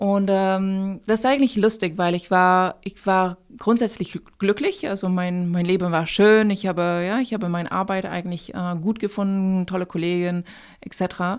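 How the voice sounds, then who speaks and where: Speaking in a French accent, a woman talks at a moderate pace and medium pitch with fairly even intonation, in a very clean recording with a silent background. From France, raised in many countries. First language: French (speaking German). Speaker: company founder. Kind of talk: interview. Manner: halting.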